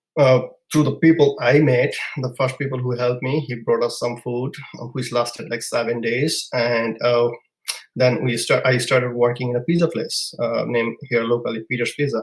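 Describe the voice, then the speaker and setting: At a moderate pace, a man with a Bangladeshi accent sounds somewhat breathy, his intonation fairly even. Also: medium pitch for a man. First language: Bengali. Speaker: immigrant entrepreneur. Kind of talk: podcast interview storytelling. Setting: live podcast. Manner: halting.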